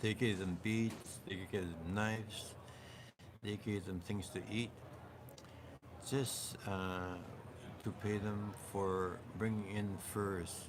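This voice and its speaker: Over audible room echo, a man speaks at a very slow pace with long, frequent pauses. His fairly low voice holds a monotone, flat intonation. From Canada. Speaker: oral history speaker. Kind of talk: oral history interview. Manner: hesitant with fillers.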